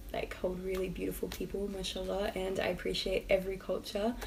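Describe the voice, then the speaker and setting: In an Australian accent, a woman talks at a fairly quick pace with audible room echo. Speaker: YouTube lifestyle vlogger. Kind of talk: casual vlog talk to camera.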